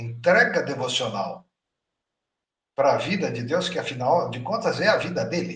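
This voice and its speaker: Speaking at a fairly slow pace, a man uses a high pitch with very wide pitch swings. He leaves long, frequent pauses. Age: 60s. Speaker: spiritual teacher. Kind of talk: lecture. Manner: animated.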